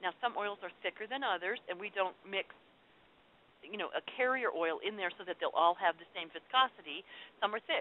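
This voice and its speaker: This is a plain, everyday voice, moving at a moderate pace with ordinary pitch variation. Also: woman, medium pitch for a woman. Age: 50s. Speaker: essential oils seller. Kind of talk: informal talk answering viewer questions. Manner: casual, many fillers.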